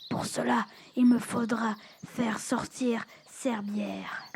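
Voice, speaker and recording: In a cartoonish character voice, this female-sounding speaker talks at a very slow pace with a fairly high pitch. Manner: grave, declamatory.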